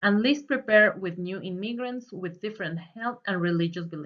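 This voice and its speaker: Speaking at a moderate pace, a woman uses a medium pitch and ordinary pitch variation. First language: Spanish. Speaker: student. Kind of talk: presentation. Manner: read from script.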